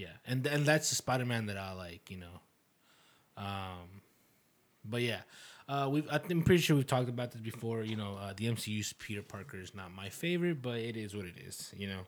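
A man with a medium-pitched voice speaks at a fairly quick pace. His intonation is lively, with big swings in loudness. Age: 20s. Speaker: podcast co-host. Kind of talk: casual chat. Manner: animated.

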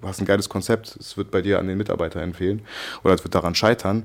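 Talking at a very fast pace, a man keeps a very deep, low pitch and a fairly even intonation. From Germany, Hannover. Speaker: entrepreneur. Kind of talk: interview. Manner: casual, hesitant with fillers.

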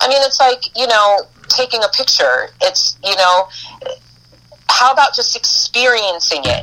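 A woman with a high voice talks at a fairly slow pace, with long, frequent pauses and ordinary pitch variation. Noticeable background noise runs underneath. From US East Coast (Boston and New York). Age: 40s. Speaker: spiritual priestess and life coach. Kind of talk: casual interview chat.

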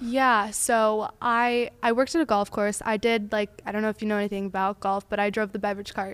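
A woman with an American accent and a normal speaking voice talks at a fairly quick pace and fairly high pitch with hardly any pauses. Her intonation is fairly even, on a very clean recording with a silent background. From Tampa, Florida. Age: 20s. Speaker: new salesperson. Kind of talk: casual chat.

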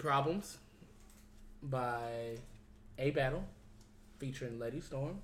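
A man speaks at a fairly slow pace with long, frequent pauses and a fairly high pitch. His tone is animated and somewhat breathy, with ordinary pitch variation. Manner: animated, high-energy and slangy, hyping the show, bantering with guests and laughing.

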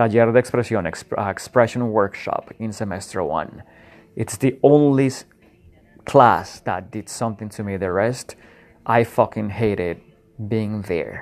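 A man with a Spanish accent, fairly low in pitch, at a fairly slow pace with ordinary pitch variation, over a quiet background. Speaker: podcast host. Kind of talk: solo reflective monologue. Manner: halting, many fillers.

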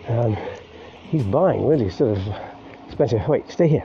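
Over noticeable background noise, a man with an English accent speaks at a medium pitch and a moderate pace with lively intonation. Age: 50s. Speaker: podcaster. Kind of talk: casual monologue. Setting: outdoors walking dog.

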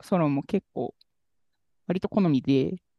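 A woman speaks slowly at a low pitch with ordinary pitch variation, in a dry, close sound with no echo.

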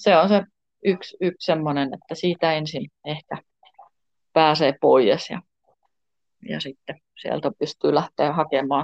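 Recorded with a dry, close sound and no echo, a woman with a very deep, low pitch speaks very slowly, with long, frequent pauses, ordinary pitch variation and big swings in loudness. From Tornio, Finnish Lapland. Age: 50s. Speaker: pole dance and yoga studio owner. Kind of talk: interview. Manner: hesitant, many fillers.

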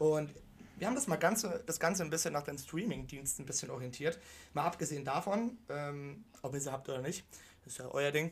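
A man's somewhat breathy, fairly high voice, with lively intonation at a fairly quick pace. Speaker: football podcast co-host. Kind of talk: casual chat.

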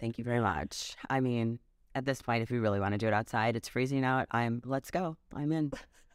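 With an American accent, a woman speaks at a fairly quick pace in a very deep, low voice, the sound dry and close with no echo. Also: ordinary pitch variation, very clean recording, silent background. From Wisconsin. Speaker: spray tan business owner. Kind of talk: casual interview.

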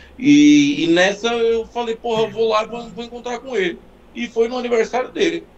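At a moderate pace, a man speaks with an extremely high pitch and lively intonation. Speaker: car enthusiast. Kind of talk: casual chat. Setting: live stream.

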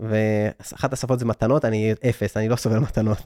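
A man speaks with a medium pitch. The sound is dry and close with no echo, in a very clean recording with a silent background. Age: 30s. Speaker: digital nomad entrepreneur and speaker. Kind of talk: interview. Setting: studio.

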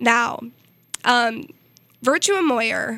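A woman's fairly high, bright, sharp voice with an American accent, at a fairly slow pace. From US Midwest (Missouri). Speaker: college radio sports host. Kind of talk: casual sports radio chat. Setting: radio studio.

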